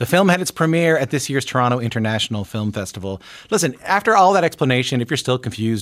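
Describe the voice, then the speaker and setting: In a very clean recording with a silent background, a man speaks at a very fast pace with very wide pitch swings. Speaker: radio host. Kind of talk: scripted narration; interview. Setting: studio.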